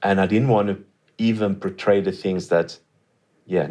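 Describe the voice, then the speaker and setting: A man speaks with a Swedish accent and ordinary pitch variation. The background is quiet. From Sweden. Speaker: studio guest. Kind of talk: interview. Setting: studio.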